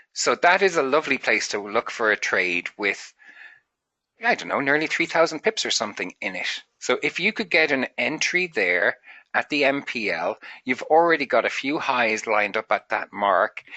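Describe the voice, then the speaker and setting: Vocal fry in a man's fairly high voice, moving at a moderate pace with very wide pitch swings. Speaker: trading mentor. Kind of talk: tutorial.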